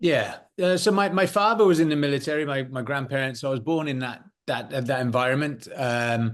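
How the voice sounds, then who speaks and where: Against a quiet background, a man with a British accent talks at a fairly quick pace in a fairly high pitch, his intonation lively. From United Kingdom. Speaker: former special forces soldier and security consultant. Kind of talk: interview.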